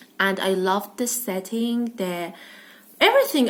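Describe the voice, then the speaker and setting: A woman speaks over noticeable background noise. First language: non-English. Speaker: book vlogger. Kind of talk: casual book review vlog. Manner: hesitant, many fillers.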